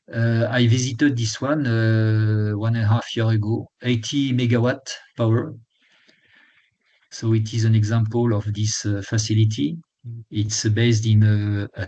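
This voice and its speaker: At a fairly slow pace, a man speaks in a somewhat breathy, dark, mellow tone with a medium pitch and fairly even intonation. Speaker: lecturer, retired energy executive. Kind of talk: lecture. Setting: webinar. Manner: halting, many fillers and restarts.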